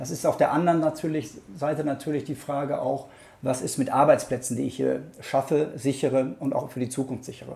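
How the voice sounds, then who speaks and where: This man's voice has a dark, mellow tone, a fairly high pitch and some vocal fry. He talks at a fairly quick pace with fairly even intonation. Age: 50s. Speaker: local mayoral candidate and lawyer. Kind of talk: interview answers.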